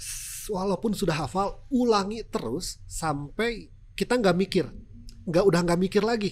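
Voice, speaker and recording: Speaking with a strong Sundanese accent, a man talks at a fairly slow pace in a high voice with ordinary pitch variation. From West Java, Sundanese. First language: Sundanese (speaking Indonesian). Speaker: TV news presenter. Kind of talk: podcast interview.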